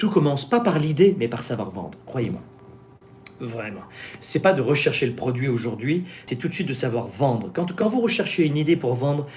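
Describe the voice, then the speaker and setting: Over noticeable background noise and audible room echo, a man with a fairly high pitch talks in an animated tone full of very wide pitch swings. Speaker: business coach and YouTuber. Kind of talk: live-stream Q&A with sales pitch. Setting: live stream. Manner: fast.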